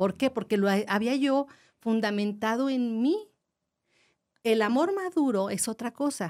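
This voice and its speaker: Lively intonation from a woman at a fairly slow pace and a fairly high pitch. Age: 60s. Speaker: family education teacher. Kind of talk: casual chat.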